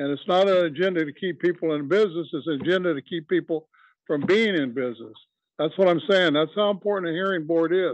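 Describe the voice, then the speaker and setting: Talking at a very fast pace, a man uses a high pitch and ordinary pitch variation. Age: 80s+. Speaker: advisory committee member. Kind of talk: public meeting discussion.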